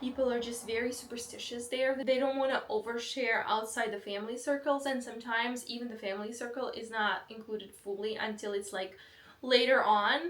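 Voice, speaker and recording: Fairly quick speech with fairly even intonation, in a Belarusian accent. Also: woman, high pitch for a woman. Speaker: vlogger. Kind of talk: casual vlog talk.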